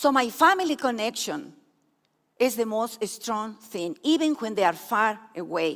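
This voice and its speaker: In a very clean recording with a silent background, a woman with a high pitch talks at a fairly slow pace with very wide pitch swings. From Peru. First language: Spanish. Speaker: speaker sharing her life story. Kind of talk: testimony.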